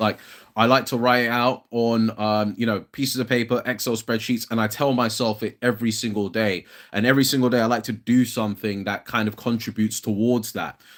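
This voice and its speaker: On a very clean recording with a silent background, a man speaks with a British accent. His pace is fairly quick and his intonation monotone and flat. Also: medium pitch for a man. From London, England. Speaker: fitness content creator. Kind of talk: casual livestream chat. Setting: solo livestream. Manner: casual, hesitant with fillers.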